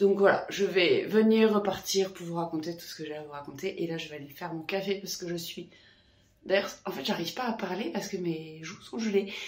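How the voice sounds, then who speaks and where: Amid noticeable background noise and audible room echo, a woman speaks at a medium pitch with ordinary pitch variation and big swings in loudness. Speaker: knitting vlogger and yoga teacher. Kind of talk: casual vlog. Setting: at home after running.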